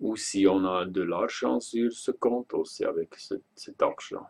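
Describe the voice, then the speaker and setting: A man with a Swiss German accent, recorded dry and close with no echo. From German-speaking Switzerland. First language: Swiss German (speaking French). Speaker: online shop owner. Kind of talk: product and payment explanation video. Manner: halting, hesitant.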